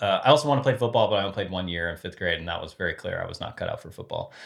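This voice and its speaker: Speaking very fast with an American accent, a man sounds somewhat breathy, his pitch varying in an ordinary way, on a very clean recording with a silent background. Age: 40s. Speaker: former sports brand marketing executive. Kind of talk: interview conversation.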